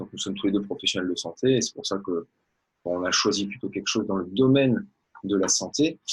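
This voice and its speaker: The pace is fairly quick. The voice is somewhat breathy. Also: man, fairly low pitch for a man, ordinary pitch variation. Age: 30s. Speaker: network marketer, former orthodontist. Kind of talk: interview.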